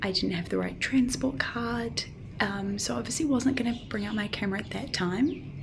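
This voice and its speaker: A woman with lively intonation, noticeable background noise and audible room echo. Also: medium pitch for a woman, moderate pace. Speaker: travel vlogger. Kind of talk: vlog to camera. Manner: casual, many fillers; soft-spoken, talking quietly.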